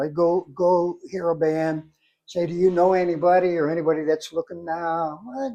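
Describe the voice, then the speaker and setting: A man with an American accent, high-pitched with a dark, mellow tone, against a quiet background. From Ohio, US Midwest. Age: 70s. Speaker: drum inventor, retired drummer. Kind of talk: interview. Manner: halting.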